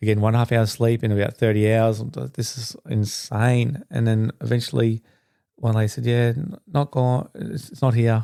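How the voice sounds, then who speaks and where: With an Australian accent, the speaker has a dark, mellow tone, recorded dry and close with no echo. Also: man, medium pitch for a man. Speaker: podcast host. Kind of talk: personal storytelling monologue. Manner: fast; animated.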